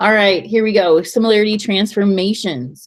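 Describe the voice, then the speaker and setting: Vocal fry runs through a voice moving at a fairly quick pace. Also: woman. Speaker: math teacher. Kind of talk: tutorial. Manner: louder than usual.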